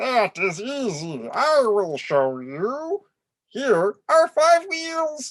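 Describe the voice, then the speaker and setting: In a put-on character voice, the speaker goes at a very slow pace with a fairly high pitch. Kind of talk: children's storybook read-aloud. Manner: flat, precise.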